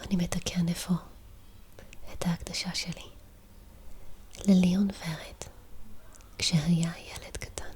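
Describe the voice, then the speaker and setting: Whispering at a very slow pace, a woman leaves long, frequent pauses. Her loudness swings widely over noticeable background noise. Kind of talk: book reading. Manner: whispered, soft-spoken.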